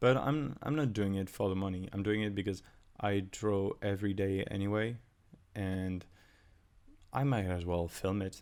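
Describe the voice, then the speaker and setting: A man's fairly low voice moves at a moderate pace with ordinary pitch variation. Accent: non-native. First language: not English. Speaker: artist and YouTuber. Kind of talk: casual voiceover commentary. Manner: halting, many fillers and restarts.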